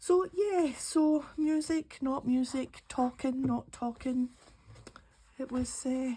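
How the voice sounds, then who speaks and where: A woman in a Glaswegian accent, very slow and relaxed, high-pitched, with ordinary pitch variation. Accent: Glaswegian Scottish. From Scotland, Glasgow. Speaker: craft YouTuber. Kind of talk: casual chat while crafting.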